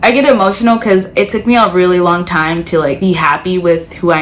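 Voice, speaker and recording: Against noticeable background noise, a woman with a Midwestern accent speaks at a moderate pace and a fairly low pitch. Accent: American, Midwest. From Ohio, US. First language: Spanish. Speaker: college vlogger. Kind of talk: personal vlog commentary. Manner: loud.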